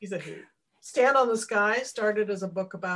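Quiet background behind a natural reading voice of ordinary pitch variation

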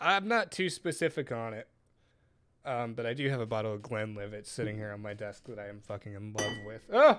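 On a very clean recording with a silent background, a man talks at a fairly quick pace in an ordinary speaking voice. His pitch is medium with ordinary variation, and his loudness swings widely. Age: 20s. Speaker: podcast host and vape shop manager. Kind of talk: casual chat.

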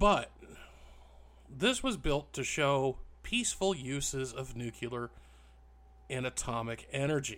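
The pace is fairly slow, with long, frequent pauses. Pitch varies in an ordinary way. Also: man, fairly high pitch for a man. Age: 40s. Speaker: history podcast host. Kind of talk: solo podcast monologue, informal storytelling. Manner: casual, with hesitations and filler words.

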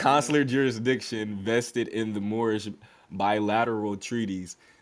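This man has an ordinary speaking voice, medium in pitch, with fairly even intonation at a moderate pace. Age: 30s. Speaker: podcast host. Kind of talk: interview; reading aloud. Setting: live audio room.

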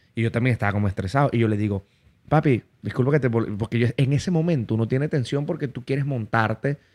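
A man with a Venezuelan Llanos accent and a medium pitch speaks at a very fast pace with ordinary pitch variation, in a very clean, silent-background recording that sounds dry and close with no echo. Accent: Venezuelan Spanish (llanero). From Venezuela, Barinas (llanos region). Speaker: comedian and interviewer. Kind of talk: casual chat. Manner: animated.

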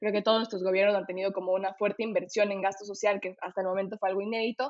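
Her delivery very fast, a woman talks at a medium pitch with monotone, flat intonation. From Ecuador. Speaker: political science student. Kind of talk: casual panel discussion.

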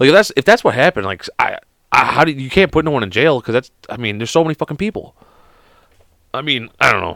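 Speaking very fast with an American accent, a man delivers loud, bright, sharp speech at medium pitch, with vocal fry, very wide pitch swings and a dry, close sound with no echo. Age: 30s. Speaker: podcast host.

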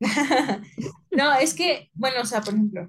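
A woman's voice comes through somewhat breathy. Its pitch varies in an ordinary way. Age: 20s. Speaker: podcast co-host. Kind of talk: casual chat.

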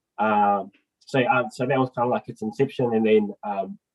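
A man speaks at a medium pitch with very wide pitch swings. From northern New Zealand. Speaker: mental health advocate. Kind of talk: casual chat.

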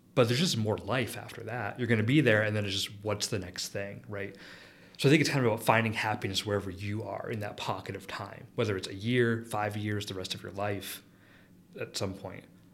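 A man with a fairly low pitch talks in a normal speaking voice at a fairly quick pace, with fairly even intonation and big swings in loudness. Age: 30s. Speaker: chemistry professor. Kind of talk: interview.

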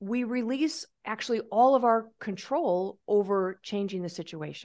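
In a quiet background, a woman speaks at a fairly slow pace. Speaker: parenting coach. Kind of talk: casual interview chat. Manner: conversational, hesitant.

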